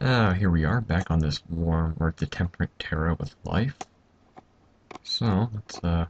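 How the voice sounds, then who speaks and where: A quiet man's voice, very deep and low, at a fairly slow pace with ordinary pitch variation. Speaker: gaming video commentator. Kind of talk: casual gameplay commentary. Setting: home at night. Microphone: mic sounds odd from being quiet.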